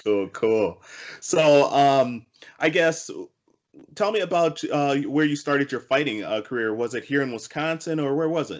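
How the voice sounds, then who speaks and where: Lively intonation marks this man's fairly high-pitched voice, a normal speaking voice delivered at a moderate pace. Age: 40s. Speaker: talk show host. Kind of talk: casual interview.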